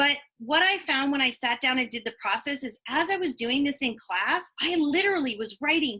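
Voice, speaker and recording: Raised and projected, a woman's voice rings out high in pitch with a bright, sharp tone. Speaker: online marketing coach. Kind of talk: web-class presentation. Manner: fast.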